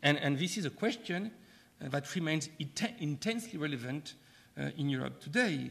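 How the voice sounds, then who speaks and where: With a French accent and a fairly high pitch, a man talks at a moderate pace with lively intonation and vocal fry. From France. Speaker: professor, keynote speaker. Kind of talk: keynote lecture. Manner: halting, frequent hesitations.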